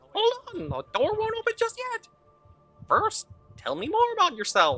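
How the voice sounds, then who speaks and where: In a put-on character voice, squeaky and at an extremely high pitch, the speaker takes a playful tone at a moderate pace with faint music in the background. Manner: silly, playful.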